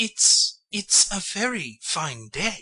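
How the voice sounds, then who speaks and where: In a put-on character voice, the speaker sounds timid at a fairly high pitch. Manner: timid, hesitant.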